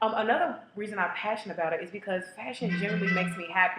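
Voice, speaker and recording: At a very fast pace, a woman talks with a medium pitch. Noticeable background noise is present. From Kentucky, Louisville. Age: 20s. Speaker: casting applicant. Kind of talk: audition tape monologue. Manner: animated.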